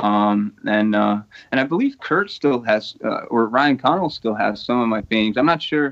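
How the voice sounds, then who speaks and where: A man speaks in an ordinary speaking voice at a medium pitch, with ordinary pitch variation. His pace is moderate and his loudness very even. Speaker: painter and digital artist. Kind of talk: casual chat. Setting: video call.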